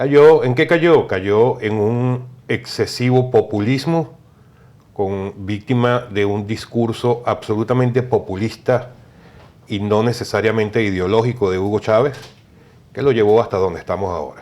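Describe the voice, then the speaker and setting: With a Venezuelan accent, a man at a medium pitch speaks at a fairly slow pace. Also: ordinary pitch variation. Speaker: political consultant. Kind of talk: TV interview.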